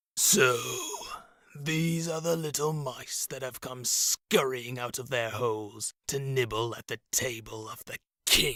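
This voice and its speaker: Using a put-on character voice, a man speaks resonantly at a medium pitch and fairly slow pace. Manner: mocking, domineering.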